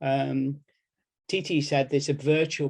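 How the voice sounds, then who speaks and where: A man with an English Midlands accent, fairly high in pitch and monotone, flat in intonation. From English Midlands, Nottingham. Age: 70s. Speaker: medical education professor. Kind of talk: workshop presentation.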